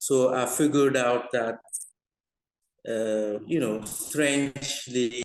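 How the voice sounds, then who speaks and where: Long, frequent pauses break up speech delivered at a very slow pace with fairly even intonation. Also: man, medium pitch for a man. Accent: non-native. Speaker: researcher. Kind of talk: webinar panel discussion. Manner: halting.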